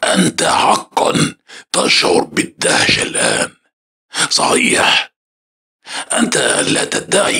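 In a put-on character voice at an extremely high pitch, a man speaks at a very slow pace with long, frequent pauses. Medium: read story. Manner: calm, knowing.

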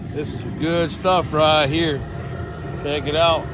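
The sound is dry with no echo, set against noticeable background noise. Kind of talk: casual vlog chat. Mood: upbeat, relaxed. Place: garden. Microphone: phone near.

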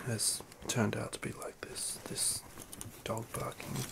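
Someone whispers, soft-spoken, at a very slow pace. Loud background noise fills the clip. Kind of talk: casual vlog chat. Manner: soft ASMR whisper, apologetic. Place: home room. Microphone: phone near.

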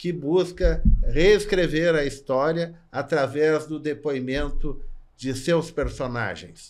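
A man talks very slowly with a quiet background behind him. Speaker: podcast host and interviewer; podcast host, interviewer. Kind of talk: interview questions and host talk. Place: studio. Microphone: studio mic.

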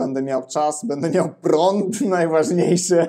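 The speaker talks very slowly in a Ukrainian accent, with a dark, mellow tone and ordinary pitch variation. The background is quiet. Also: man. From Ukraine. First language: Ukrainian (speaking Polish). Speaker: Polish language teacher. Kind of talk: interview. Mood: relaxed, casual. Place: home room. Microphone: lapel.

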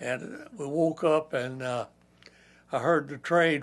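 Speaking very slowly with a Kentucky accent, a man uses a fairly high pitch and fairly even intonation. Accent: Southern US (Kentucky). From Kentucky, USA. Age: 80s+. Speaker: war veteran. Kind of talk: interview answer. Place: home room.

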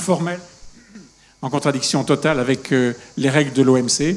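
A man talks at a fairly slow pace. His pitch is fairly high and his intonation fairly even. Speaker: panel moderator. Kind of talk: moderated panel discussion. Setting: stage with audience. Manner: humorous. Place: stage.

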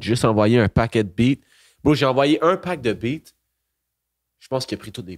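A man speaks at a moderate pace with lively intonation and long, frequent pauses. The background is quiet. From Quebec, Magog area with Montreal ties; Quebec. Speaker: rapper and beatmaker; guest. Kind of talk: casual interview chat. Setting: bar.

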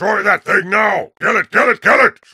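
A man shouting at a moderate pace with very even loudness, the sound dry and close with no echo. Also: high pitch for a man. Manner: shouted, urgent, aggressive.

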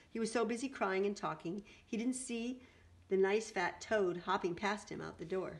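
This natural reading voice moves with ordinary pitch variation.

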